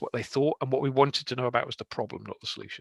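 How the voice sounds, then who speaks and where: A man with a Scottish accent talks at a very fast pace. His tone is bright and sharp. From Scotland, Aberdeen. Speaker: software consultant. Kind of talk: conference talk. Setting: online meetup.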